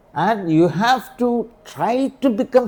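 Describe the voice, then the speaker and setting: A dark, mellow tone comes through. The voice belongs to a man. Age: 80s+. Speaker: ayurvedic doctor. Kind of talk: interview. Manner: repetitive, halting.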